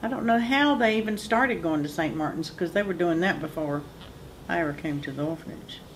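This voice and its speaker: A woman with a North Carolina accent speaks with lively intonation. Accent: Southern US (North Carolina). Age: 60s. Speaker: orphanage alumna. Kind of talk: oral history interview.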